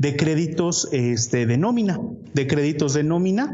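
Fairly slow, lively-toned speech in a Mexican accent, with audible room echo and noticeable background noise. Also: man. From Mexico. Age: 30s. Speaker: real estate investor. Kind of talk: interview.

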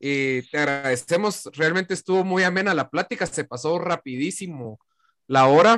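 A man speaks at a fairly slow pace with a Guatemalan accent and a fairly high pitch. His pitch varies in an ordinary way, and the sound is dry and close with no echo. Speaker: podcast host. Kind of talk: casual chat.

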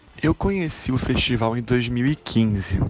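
A man talks over noticeable background noise. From Macaé, Rio de Janeiro, Brazil. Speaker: festival fan. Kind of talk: personal testimony.

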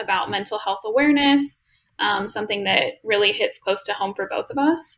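A woman using a normal speaking voice talks fairly quickly, with ordinary pitch variation. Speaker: student podcast host. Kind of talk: casual interview.

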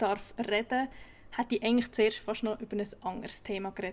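A woman speaks at a moderate pace with a Swiss accent. Her voice is fairly high, with fairly even intonation. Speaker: podcast host. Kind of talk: scripted intro; interview.

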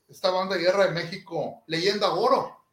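A man's high-pitched voice at a fairly slow pace. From Sinaloa, Mexico. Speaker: marching band instructor. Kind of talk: interview.

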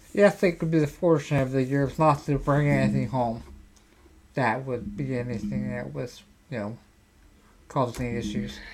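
Speaking at a moderate pace with long, frequent pauses, a man keeps a medium pitch and ordinary pitch variation. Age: 50s. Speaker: podcast host. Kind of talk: casual chat. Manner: halting.

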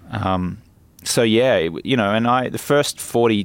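With an Australian accent, a man speaks at medium pitch using lively intonation. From Australia (Brisbane). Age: 40s. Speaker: life coach. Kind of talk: casual chat. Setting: outdoors in a garden.

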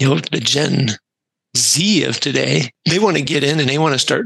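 A man with a fairly high pitch and a bright, sharp tone shows vocal fry. His intonation is lively and his pace moderate. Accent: American. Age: 60s. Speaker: career transition coach, military veteran. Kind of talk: casual interview chat.

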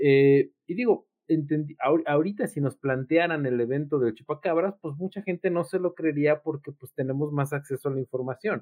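A man's fairly high-pitched, ordinary speaking voice at a moderate pace, with ordinary pitch variation. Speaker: psychologist. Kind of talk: casual chat.

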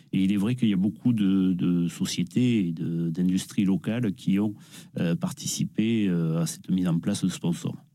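A man speaks at a moderate pace with a very deep, low pitch. His tone is dark and mellow, with ordinary pitch variation. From Nîmes, southern France. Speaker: shirt collector. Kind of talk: interview.

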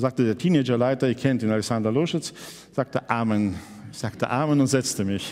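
This man talks at a fairly quick pace with ordinary pitch variation and an ordinary speaking voice. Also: medium pitch for a man. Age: 60s. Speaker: pastor. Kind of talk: sermon.

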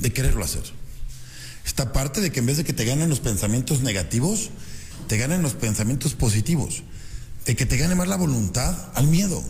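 A man with a medium-pitched voice talks at a fairly quick pace in an animated tone, with very wide pitch swings. He leaves long, frequent pauses. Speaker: radio host and business coach. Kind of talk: motivational radio talk. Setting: radio studio.

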